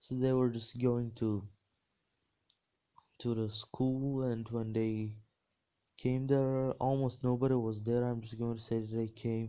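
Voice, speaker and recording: A man with a non-native accent speaks at medium pitch at a fairly slow pace, his dark, mellow tone held in a monotone, flat intonation and broken by long, frequent pauses. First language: not English. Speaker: fan fiction storyteller. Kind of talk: improvised storytelling. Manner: halting, many fillers and restarts.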